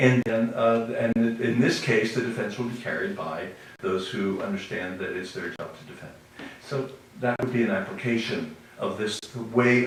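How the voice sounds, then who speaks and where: Speaking in an American accent at a moderate pace, a man with a medium pitch shows big swings in loudness over noticeable background noise and audible room echo. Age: 70s. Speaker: activist speaker. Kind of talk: conference talk. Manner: animated, preaching style.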